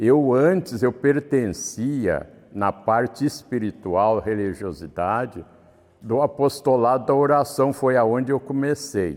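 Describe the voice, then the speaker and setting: With ordinary pitch variation, a man speaks very slowly. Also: medium pitch for a man. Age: 70s. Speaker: church community member. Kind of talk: interview testimony. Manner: formal.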